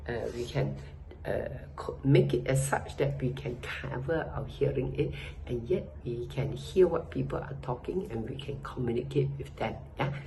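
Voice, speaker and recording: A woman speaks at a moderate pace with a very deep, low pitch that swings very widely. Room echo is audible, along with noticeable background noise. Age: 80s+. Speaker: customer giving a product review. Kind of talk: testimonial. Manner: hesitant, with fillers.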